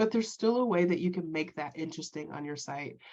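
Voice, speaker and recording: Very fast speech from a woman, fairly low in pitch, with ordinary pitch variation. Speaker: web consultant for small businesses. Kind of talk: workshop presentation. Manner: filler-heavy casual delivery.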